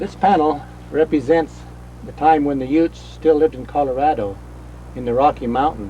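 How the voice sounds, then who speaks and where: Over music in the background, a man with an American accent speaks with big swings in loudness and long, frequent pauses. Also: moderate pace. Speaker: rock art interpreter and author. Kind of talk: documentary interview.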